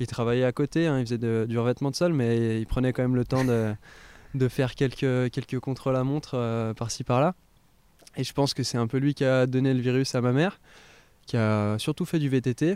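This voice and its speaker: Medium pitch, moderate pace and a dark, mellow tone in a man's voice. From France, Haute-Savoie. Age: 20s. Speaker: professional cyclist. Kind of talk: casual interview. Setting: at guest's home. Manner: hesitant, many fillers.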